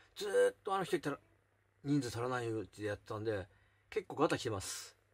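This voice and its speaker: Male speech, moderate in tempo. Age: 40s. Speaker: YouTuber; vlogger. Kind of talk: casual chat. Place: home room. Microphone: phone near.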